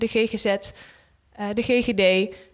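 The woman's voice has a fairly high pitch. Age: 20s. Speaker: junior doctor in elderly care. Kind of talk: casual interview.

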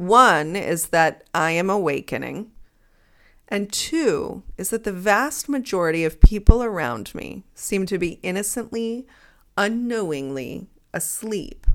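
Speaking fairly slowly at a medium pitch, a woman swings very widely in pitch and greatly in loudness, on a very clean recording with a silent background. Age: 30s. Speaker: psychology professor and podcaster. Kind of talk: solo monologue.

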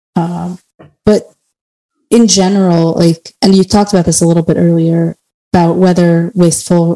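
Her tone is dark and mellow, her intonation monotone and flat. The woman keeps a moderate pace, and the sound is dry and close with no echo. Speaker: podcast co-host and PhD student. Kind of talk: casual podcast chat.

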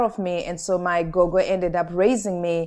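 A woman speaks with a Zimbabwean accent against a quiet background. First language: Shona. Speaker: author and humanitarian speaker. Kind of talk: interview conversation.

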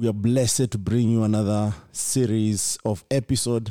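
In a dark, mellow tone, a man speaks at a moderate pace with fairly low pitch. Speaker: podcast host. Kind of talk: casual interview. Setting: on location at a tech workshop.

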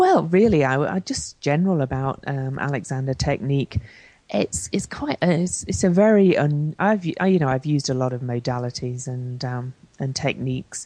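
A woman with a British accent, very deep and low in pitch, her dark, mellow tone carried by lively intonation at a moderate pace. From Britain. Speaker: astrologer and life coach. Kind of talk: interview. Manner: hesitant, many fillers.

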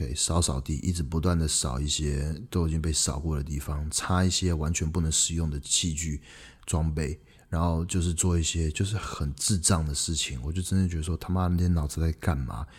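A man's very deep, low, somewhat breathy voice at a fairly quick pace with fairly even intonation. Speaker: podcast host, entrepreneur. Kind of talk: casual solo podcast monologue.

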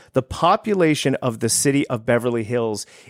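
On a very clean recording with a silent background and a dry, close sound with no echo, a man speaks in an animated tone with very wide pitch swings. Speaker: realtor and podcast host. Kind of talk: casual chat.

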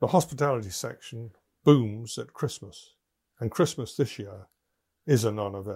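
A man's dark, mellow, somewhat breathy voice at medium pitch, with ordinary pitch variation, big swings in loudness, a moderate pace and long, frequent pauses, in a very clean recording with a silent background. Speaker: business podcaster. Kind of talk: scripted monologue. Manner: formal.

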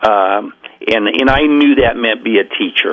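Here a man speaks with an American accent at a moderate pace. Noticeable background noise is present. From Oregon coast, US. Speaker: track coach. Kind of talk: radio interview. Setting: phone call.

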